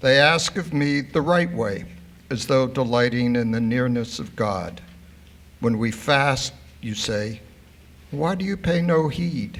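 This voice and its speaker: Speaking slowly with long, frequent pauses, a man at medium pitch uses lively intonation in a room with audible echo. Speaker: congregant reading scripture. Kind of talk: reading aloud. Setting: synagogue service. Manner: formal.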